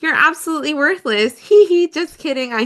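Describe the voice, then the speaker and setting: Using a put-on character voice, a woman speaks high and at a fairly quick pace. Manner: chipper, polite, showy.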